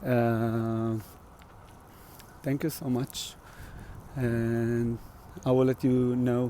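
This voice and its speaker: In an Israeli accent, a man talks at a medium pitch with a dark, mellow tone and monotone, flat intonation. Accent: Israeli Hebrew. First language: Hebrew. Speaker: musician. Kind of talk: casual livestream vlog. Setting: outdoors on a walk. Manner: halting, many fillers.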